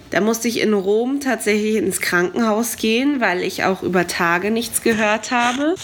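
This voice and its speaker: A woman with a fairly high pitch and ordinary pitch variation speaks over noticeable background noise. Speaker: podcast host. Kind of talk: casual travel chat.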